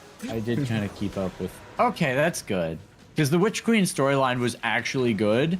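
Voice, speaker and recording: A man with lively intonation at a moderate pace, against noticeable background noise. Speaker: gaming streamer. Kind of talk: casual chat. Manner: slurring words.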